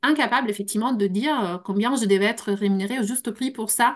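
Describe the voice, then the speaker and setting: Speaking at a moderate pace, a woman with a non-native accent has a fairly high pitch. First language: not French (speaking French). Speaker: translator and consultant. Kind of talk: panel discussion. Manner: halting.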